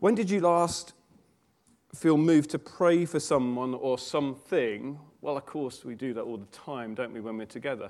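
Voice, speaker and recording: A man with a British accent talks at a moderate pace in a fairly high pitch, with lively intonation and big swings in loudness. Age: 40s. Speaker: preacher. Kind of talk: sermon.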